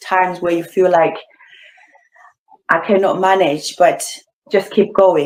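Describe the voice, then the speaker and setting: A woman with a Zimbabwean accent talks at a medium pitch with fairly even intonation. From Zimbabwe, Bulawayo. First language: Ndebele. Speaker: beauty pageant finalist. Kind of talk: interview.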